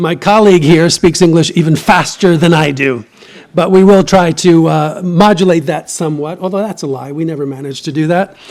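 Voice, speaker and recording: A man with a New York accent speaks at a high pitch and a fairly quick pace with ordinary pitch variation. Noticeable background noise runs underneath. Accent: American, New York. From US Northeast, New York City. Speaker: professor and novelist. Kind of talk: lecture. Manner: fast.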